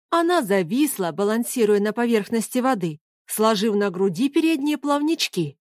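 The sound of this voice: An unforced reading voice with lively intonation carries over a quiet background.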